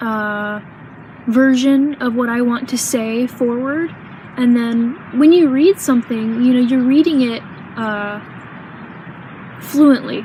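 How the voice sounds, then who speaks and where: A woman speaks at a very slow pace in a high pitch, with long, frequent pauses and noticeable background noise. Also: ordinary pitch variation. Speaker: vlogger. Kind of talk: personal vlog. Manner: halting, many pauses.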